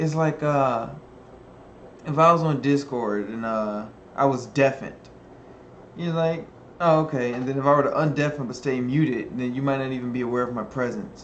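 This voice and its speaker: A man of medium pitch with a relaxed tone, ordinary pitch variation, a moderate pace and long, frequent pauses, in audible room echo. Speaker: video blogger. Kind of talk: casual monologue to camera.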